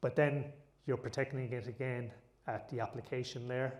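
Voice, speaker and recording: Somewhat breathy, a man with an Irish accent speaks at a medium pitch and a fairly quick pace. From Ireland. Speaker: tech conference speaker. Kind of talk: conference talk.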